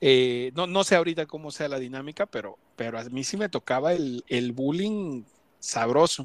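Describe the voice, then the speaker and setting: Lively intonation and a moderate pace mark a normal speaking voice, recorded very cleanly with a silent background and a dry, close sound with no echo. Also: man, fairly high pitch for a man. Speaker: podcast host. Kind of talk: casual chat.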